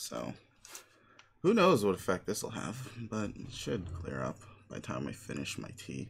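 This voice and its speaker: A man with a very deep, low pitch and vocal fry speaks with long, frequent pauses, very wide pitch swings and big swings in loudness. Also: moderate pace. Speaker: streamer reading a webcomic aloud. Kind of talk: reading aloud. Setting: live stream.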